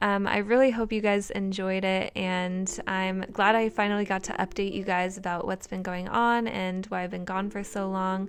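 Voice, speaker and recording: With monotone, flat intonation, a woman talks at a medium pitch. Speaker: bullet journal YouTuber. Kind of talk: voiceover tutorial. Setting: recorded voiceover. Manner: casual, rambling with fillers.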